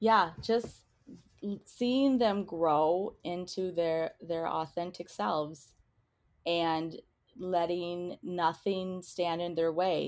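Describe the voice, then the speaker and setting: A woman speaks at a very slow pace with a fairly low pitch and ordinary pitch variation. The recording is very clean, with a silent background. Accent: American. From Minnesota. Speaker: parent of LGBTQ children. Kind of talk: interview.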